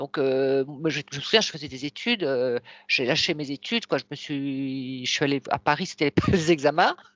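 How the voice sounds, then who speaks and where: A woman speaks against a quiet background, the sound dry and close with no echo. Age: 60s. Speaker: hypnosis client. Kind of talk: interview. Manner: halting.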